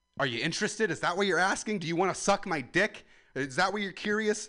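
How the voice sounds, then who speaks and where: Speaking at a very fast pace, a man uses a raised, projected voice with a bright, sharp tone, high pitch, and ordinary pitch variation. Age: 20s. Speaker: comedian. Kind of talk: stand-up. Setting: outdoors. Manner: loud.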